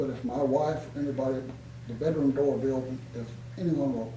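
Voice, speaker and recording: Amid noticeable background noise and audible room echo, a man talks at a moderate pace in a medium pitch with fairly even intonation. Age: 70s. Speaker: war veteran. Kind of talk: interview. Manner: halting.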